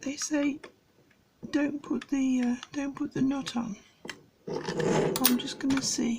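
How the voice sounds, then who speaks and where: A soft-spoken woman with a British accent talks at a high pitch and a very slow pace, leaving long, frequent pauses. Noticeable background noise is present. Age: old. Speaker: amateur radio hobbyist. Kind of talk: casual tutorial commentary. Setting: home writing desk at night.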